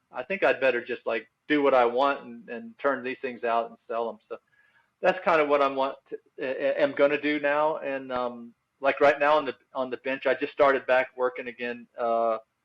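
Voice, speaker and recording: A man speaks in an ordinary speaking voice, fairly high in pitch, at a moderate pace with fairly even intonation and big swings in loudness. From US South. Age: 60s. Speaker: instrument maker. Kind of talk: casual chat.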